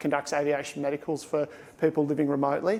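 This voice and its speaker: A man's fairly high-pitched voice in an Australian accent. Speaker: airline pilot. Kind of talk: conference talk.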